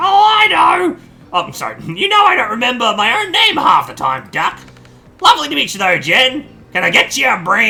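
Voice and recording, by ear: A man performs a put-on character voice at an extremely high pitch, raised and projected. He moves at a fairly quick pace.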